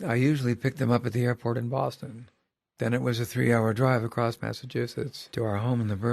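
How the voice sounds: A natural reading voice with fairly even intonation comes through against a quiet background.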